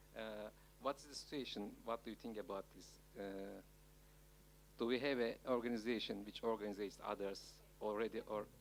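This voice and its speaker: A man with a Turkish accent at a moderate pace and fairly low pitch, with fairly even intonation, big swings in loudness, and long, frequent pauses. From Turkey. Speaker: audience member asking a question. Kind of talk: audience question. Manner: halting.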